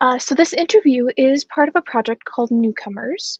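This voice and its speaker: The woman has an American accent and a high pitch. Her sound is dry and close, without echo. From United States. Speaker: student journalist, interviewer. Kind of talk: interview.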